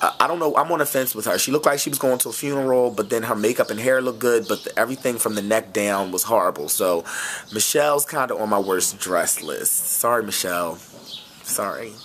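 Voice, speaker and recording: A man talks at a very fast pace in an animated tone at a medium pitch. Music plays in the background. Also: ordinary pitch variation. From West Philadelphia. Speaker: celebrity fashion vlogger. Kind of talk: casual vlog review.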